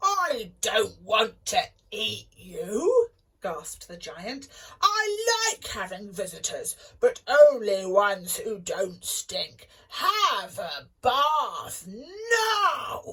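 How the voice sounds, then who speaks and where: A woman uses a put-on character voice, high in pitch and very slow in pace. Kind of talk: bedtime story. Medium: read story. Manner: roaring.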